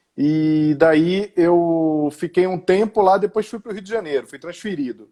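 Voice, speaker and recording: Speaking in a Pernambuco accent, a man talks at a fairly slow pace with a high pitch and a dark, mellow tone. His loudness swings widely while his pitch variation stays ordinary. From Brazil, Pernambuco (Recife). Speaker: education executive and author. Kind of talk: live interview.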